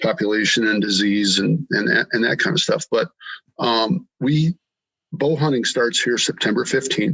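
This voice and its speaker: A man speaks in an Upper Midwest US accent. His intonation is lively. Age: 60s. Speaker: hunter and farmer. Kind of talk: podcast interview. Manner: halting, many fillers.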